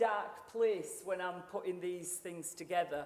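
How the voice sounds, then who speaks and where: A woman speaks at a moderate pace, with noticeable background noise and audible room echo. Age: 60s. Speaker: sales expert and speaker. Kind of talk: motivational keynote speech. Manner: animated.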